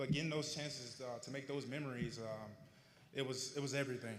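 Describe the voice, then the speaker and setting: A man with a Southern US accent, medium-pitched and fairly even in intonation, at a very fast pace amid audible room echo. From Arkansas, US South. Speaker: honoree telling his life story. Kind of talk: public speech, personal testimony. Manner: slightly slurred from retainers.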